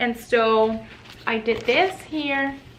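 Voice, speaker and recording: Speaking with a Spanish accent, a woman's voice sits fairly high. Her pitch varies in an ordinary way. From Puerto Rico. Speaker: lifestyle and parenting vlogger. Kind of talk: casual tutorial.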